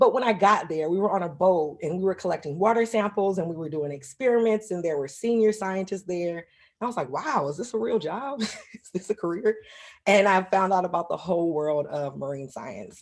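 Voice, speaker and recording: Her South Carolina accent carries lively intonation as the woman talks at a medium pitch and fairly quick pace with hardly any pauses. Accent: Southern US (South Carolina). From US South, South Carolina. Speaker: marine ecologist. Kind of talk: lecture. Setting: video call.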